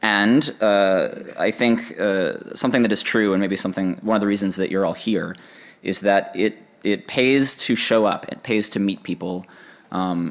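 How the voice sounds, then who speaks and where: A man talks at a moderate pace in an unremarkable speaking voice, his fairly low pitch carrying fairly even intonation. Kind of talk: conference talk. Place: stage.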